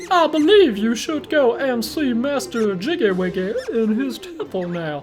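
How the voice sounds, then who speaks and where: In a put-on character voice, the speaker swings very widely in pitch at a moderate pace, with clear background noise behind. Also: man, extremely high pitch for a man. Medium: game stream. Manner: casual, friendly.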